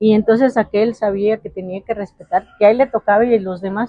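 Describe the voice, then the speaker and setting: A woman in an ordinary speaking voice, at a moderate pace, with fairly even intonation but big swings in loudness. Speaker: interviewee, local resident. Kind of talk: interview.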